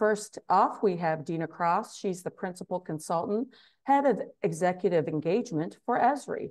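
Against a quiet background, a woman with a normal speaking voice and fairly low pitch talks at a moderate pace with lively intonation. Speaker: webinar host. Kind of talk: panel introduction. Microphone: video call.

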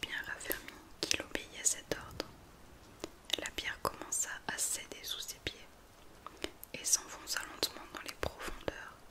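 A woman whispering at a fairly slow pace with long, frequent pauses. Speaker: ASMR content creator. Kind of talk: whispered fairy-tale reading for ASMR. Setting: studio mic with rain and thunderstorm sounds in background. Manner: whispered, soft, slow. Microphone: studio mic.

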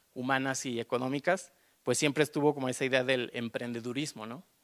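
Against a quiet background, a man speaks in a monotone, flat intonation. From Mexico, León; Mexico. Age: 30s. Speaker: artist; panelist. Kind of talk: panel discussion. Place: hall. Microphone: handheld.

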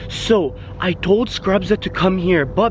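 There is noticeable background noise, and the sound is dry with no echo. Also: man. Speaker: vlogger. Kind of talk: casual vlog chat. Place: street. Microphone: phone near.

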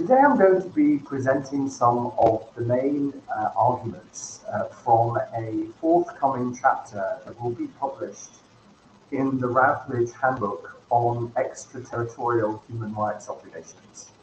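Amid light background noise and audible room echo, a man talks at a fairly slow pace with ordinary pitch variation and big swings in loudness. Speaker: guest lecturer. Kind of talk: lecture. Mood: polite, warm. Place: home room. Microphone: headset.

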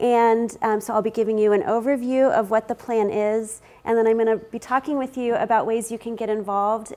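A woman speaks at a fairly quick pace with fairly even intonation. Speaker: keynote presenter. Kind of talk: conference presentation. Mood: friendly, smiling. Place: meeting room. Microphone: lapel.

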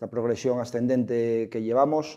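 A man talks at a moderate pace with fairly even intonation, and the background is quiet. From Asturias, Trubia. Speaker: sports show host. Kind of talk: sports talk show. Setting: studio. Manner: halting. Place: studio. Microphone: lapel.

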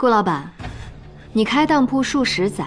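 A woman at a fairly slow pace, with music in the background. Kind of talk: scripted drama dialogue. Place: hall.

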